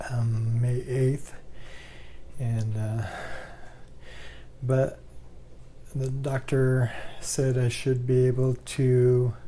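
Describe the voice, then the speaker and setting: Somewhat breathy and dark, mellow in tone, a man speaks at medium pitch and a very slow pace, with a monotone, flat intonation and long, frequent pauses. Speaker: vlogger living with ALS. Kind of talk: personal video diary. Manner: halting, many fillers. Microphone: new microphone.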